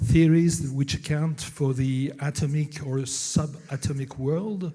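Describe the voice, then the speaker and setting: A man with a French accent speaks in a dark, mellow tone that is somewhat breathy and fairly high in pitch, with ordinary pitch variation. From France. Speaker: novelist and professor. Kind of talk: conference talk. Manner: halting, many fillers.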